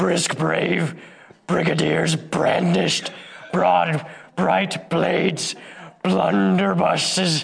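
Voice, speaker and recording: Using a put-on character voice, a man speaks very slowly in a fairly low, gravelly, raspy tone, leaving long pauses often. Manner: struggling with the deep pitch while reading a tongue twister.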